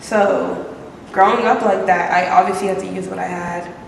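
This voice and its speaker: A woman speaks at a moderate pace. Noticeable background noise and audible room echo are present. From US, Maryland (Prince George's County). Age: 20s. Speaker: art student. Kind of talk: casual chat. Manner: casual, hesitant with fillers.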